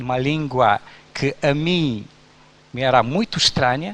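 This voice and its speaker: With a Romanian accent, a man speaks very slowly at a fairly high pitch with lively intonation. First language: Romanian (speaking Portuguese). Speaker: pastor. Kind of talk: sermon.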